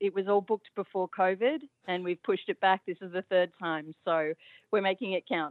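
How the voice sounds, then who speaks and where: A woman talks with an Australian accent at a moderate pace. Her pitch is medium, with ordinary variation. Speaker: caller. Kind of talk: casual chat. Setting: phone call.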